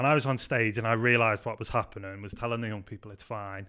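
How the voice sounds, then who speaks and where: On a very clean recording with a silent background, a man with a Liverpool accent talks at a very fast pace in a bright, sharp tone, his fairly low pitch held in a monotone, flat intonation. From Liverpool, England. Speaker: youth pastor. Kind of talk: casual chat.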